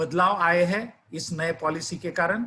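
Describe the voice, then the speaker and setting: This voice carries a Marathi accent and a bright, sharp tone. It is raised and projected. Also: man. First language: Marathi (speaking Hindi). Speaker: educator. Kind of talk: lecture.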